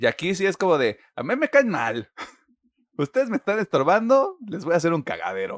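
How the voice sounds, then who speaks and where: At a moderate pace, a man with a high pitch speaks in very wide pitch swings, the sound dry and close with no echo. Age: 20s. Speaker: podcast host. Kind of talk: news reading; casual chat.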